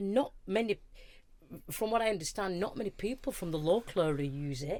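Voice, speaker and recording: A woman with a Lancashire accent speaks at a fairly quick pace and a medium pitch. Her tone is dark and mellow, and her intonation is lively. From northern England, Wigan. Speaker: charity manager. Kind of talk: casual chat.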